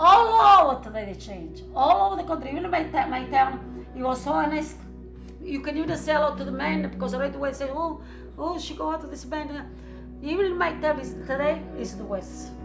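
A woman with an Italian accent at a moderate pace, big swings in loudness, and clear music in the background. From Italy. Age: old. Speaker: grandmother interviewed in documentary; interviewee. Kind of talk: casual interview; interview answer. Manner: halting. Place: home room.

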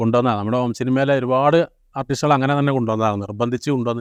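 A man with a normal speaking voice speaks at a medium pitch with ordinary pitch variation, recorded dry and close with no echo. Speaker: home-movie maker and show host. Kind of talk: casual interview.

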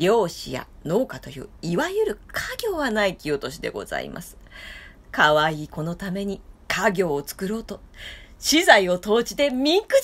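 A woman's loudness swings widely as she talks at a moderate pace. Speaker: storyteller. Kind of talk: storytelling reading. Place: home room. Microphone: phone near.

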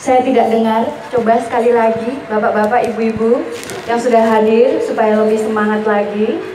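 Noticeable background noise sits behind a woman whose pitch is fairly high. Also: moderate pace. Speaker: master of ceremonies. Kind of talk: lively crowd warm-up.

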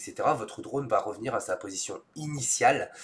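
A man speaks with a fairly bright tone.

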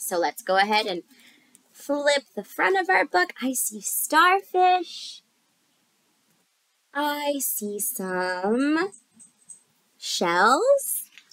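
Delivered at a very slow pace with long, frequent pauses, the voice has a fairly bright tone and big pitch swings in a dry, close sound with no echo. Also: woman, high pitch for a woman.

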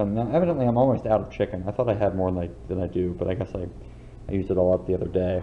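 A man is talking very fast. Some light noise can be heard behind the voice. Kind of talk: casual cooking tutorial. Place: kitchen. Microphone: phone near.

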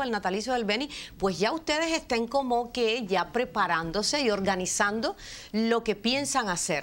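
Her fairly high-pitched voice swings very widely in pitch as the woman speaks at a moderate pace. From Cuba. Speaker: TV presenter; TV show host. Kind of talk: TV interview. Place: studio. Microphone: lapel.

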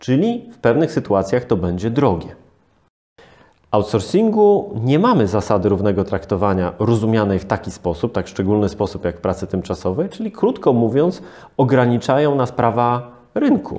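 In a dark, mellow tone, a man talks at a moderate pace over a quiet background, with lively intonation and big swings in loudness. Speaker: lawyer. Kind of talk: interview. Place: studio.

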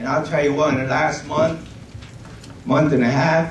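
A man speaks at a moderate pace with fairly even intonation and a fairly high pitch. Audible room echo surrounds his voice.

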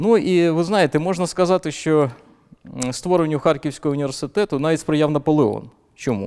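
Recorded very cleanly with a silent background, a man with fairly high pitch and a dark, mellow tone speaks at a moderate pace. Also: ordinary pitch variation. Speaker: history professor. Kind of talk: academic interview. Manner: measured, formal.

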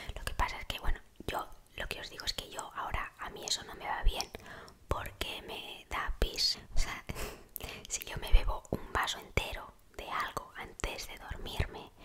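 A woman is whispering. Her pace is fairly slow. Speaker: ASMR creator. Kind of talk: ASMR sleep tips talk. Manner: whispered. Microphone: studio mic.

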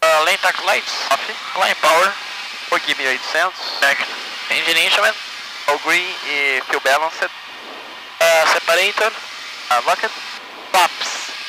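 A man speaks very slowly in a high voice, the sound dry with no echo against noticeable background noise. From Brazil. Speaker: airline pilot. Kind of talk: cockpit checklist callouts and radio call. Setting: cockpit. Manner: terse, clipped, monotone. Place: plane. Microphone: headset.

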